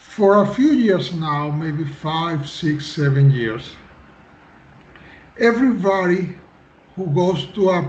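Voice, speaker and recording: A man's high-pitched voice at a very slow pace, with ordinary pitch variation and audible room echo. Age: 50s. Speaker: civil engineer. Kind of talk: interview. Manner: halting.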